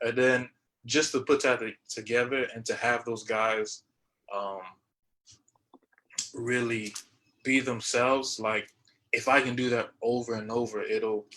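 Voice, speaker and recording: A man with a medium pitch and a bright, sharp tone speaks at a fairly slow pace. His intonation is monotone and flat, with long, frequent pauses. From Haitian and Bahamian heritage. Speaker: jazz musician, panelist. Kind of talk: panel discussion. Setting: live-streamed video panel. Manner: halting.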